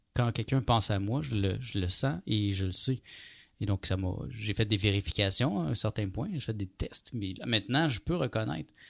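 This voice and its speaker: A man's plain, everyday voice, fairly low, at a moderate pace with lively intonation, dry and close with no echo, on a very clean recording with a silent background. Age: 40s. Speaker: radio host. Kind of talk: casual chat. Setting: studio.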